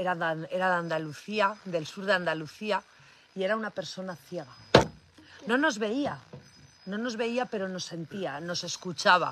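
A woman with an animated tone at a fairly slow pace, dry with no echo. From Cantabria, Spain. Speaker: cattle farmer. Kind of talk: livestream chat. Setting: on a farm. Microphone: phone near.

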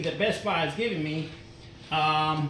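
Over noticeable background noise, a man speaks with a high pitch. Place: workshop.

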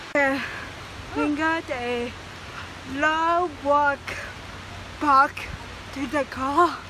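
A woman's raised, projected voice with fairly even intonation, dry with no echo, over noticeable background noise. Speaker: vlogger. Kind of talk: casual vlog chat. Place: forest. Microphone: phone near.

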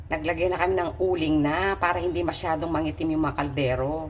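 Room echo and noticeable background noise both surround a woman as she talks. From Philippines, provinces. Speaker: vlogger. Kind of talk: cooking vlog. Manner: casual, conversational.

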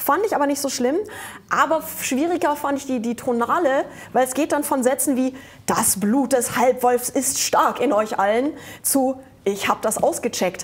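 Her pitch sits high. This woman's pitch varies in an ordinary way. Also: moderate pace. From Germany. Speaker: comic artist and musician; comic artist. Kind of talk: casual chat. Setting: studio with audience. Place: studio. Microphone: lapel.

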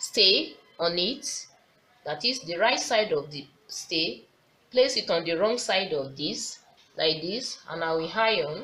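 A woman speaks at a very slow pace, with long, frequent pauses. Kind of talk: tutorial. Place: workshop. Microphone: phone near.

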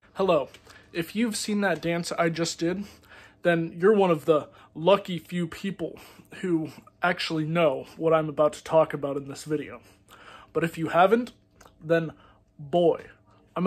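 Long, frequent pauses break up this man's speech at a moderate pace. His high voice holds fairly even intonation. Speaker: comedy video creator. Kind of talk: casual vlog chat. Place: home room. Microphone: phone near.

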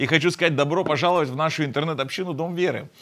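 Over a quiet background, a man is speaking. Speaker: pastor hosting online broadcast. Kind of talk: sermon. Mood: warm, smiling, friendly. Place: studio. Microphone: lapel.

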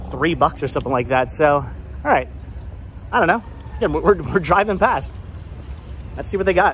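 A man speaks at a fairly quick pace over light background noise. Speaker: vlogger. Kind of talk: casual vlog chat. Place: street. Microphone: phone near.

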